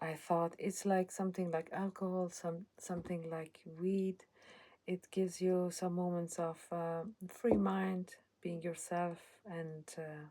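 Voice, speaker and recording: Very slow and marked by long, frequent pauses, a woman's fairly low voice has a dark, mellow tone and monotone, flat intonation. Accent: Iranian. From Iran. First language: Persian. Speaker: channel owner speaking about her life. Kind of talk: personal testimony. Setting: at home in a cottage. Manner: halting.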